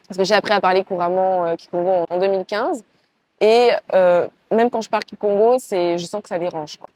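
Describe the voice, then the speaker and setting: A woman speaks at a fairly quick pace in a medium pitch, her tone dark and mellow with fairly even intonation. The sound is dry and close, with no echo. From Congo-Brazzaville, raised partly in France. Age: 20s. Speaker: entrepreneur. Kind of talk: interview. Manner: hesitant, many fillers.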